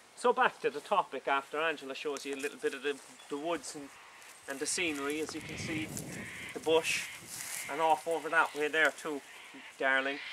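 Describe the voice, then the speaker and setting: Over noticeable background noise, a man with a fairly high pitch and a Cork accent talks at a fairly quick pace, his intonation fairly even and his pauses long and frequent. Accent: Cork Irish. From Ireland, Cork City. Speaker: vlogger. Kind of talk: casual vlog monologue. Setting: outdoors in woods. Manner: halting, repetitive.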